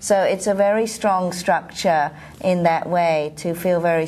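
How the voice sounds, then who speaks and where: In a London accent, a woman speaks at a fairly slow pace. Her pitch is fairly low and her intonation fairly even. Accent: British English (London). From London, England. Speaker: professional association president, osteopath. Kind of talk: interview. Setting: at a convention.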